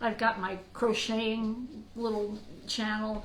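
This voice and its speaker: Amid noticeable background noise and audible room echo, a woman speaks in an animated tone at a fairly high pitch. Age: 60s. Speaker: podcast host. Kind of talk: casual monologue.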